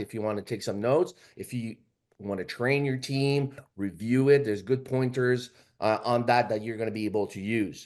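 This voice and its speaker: A man with a Quebec accent talks at a fairly quick pace and medium pitch with ordinary pitch variation, the background quiet. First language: French. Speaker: financial services agent. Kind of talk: training presentation. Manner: halting.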